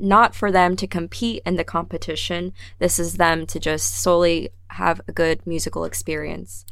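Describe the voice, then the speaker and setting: A woman speaks fairly slowly with an American accent. The recording is very clean, with a silent background. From New Jersey, near Philadelphia. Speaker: orchestra community engagement coordinator and cellist. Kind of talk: casual interview chat. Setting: radio studio.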